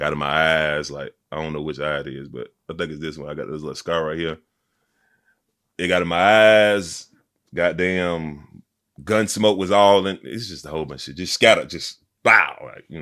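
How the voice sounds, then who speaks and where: On a very clean recording with a silent background, a man with a very deep, low pitch speaks in a bright, sharp tone with big swings in loudness. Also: ordinary pitch variation, moderate pace. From Montgomery, Alabama (US South). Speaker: rapper. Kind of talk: casual interview. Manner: energetic.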